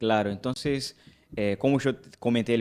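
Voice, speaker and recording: A man with a Brazilian accent, medium pitch and moderate pace against a quiet background. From Brazil, Rio de Janeiro. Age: 20s. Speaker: pastor. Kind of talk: casual chat.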